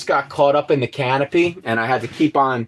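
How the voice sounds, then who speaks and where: A man speaks at a fairly slow pace. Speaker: axe maker and woodworker livestreaming. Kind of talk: casual livestream chat while working. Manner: casual, halting with fillers.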